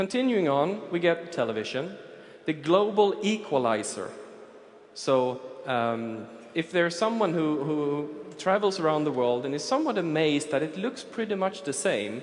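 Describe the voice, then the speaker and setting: With very wide pitch swings and a fairly high pitch, a man speaks at a moderate pace over noticeable background noise and audible room echo. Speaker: futurist. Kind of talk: conference talk. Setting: stage with audience.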